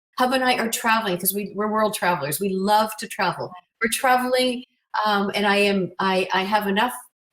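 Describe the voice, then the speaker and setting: A woman speaks at a fairly quick pace in a medium pitch. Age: 60s. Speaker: transformation coach. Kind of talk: interview. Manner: animated.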